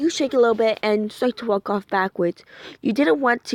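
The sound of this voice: Unforced reading voice, pitch moving in an ordinary way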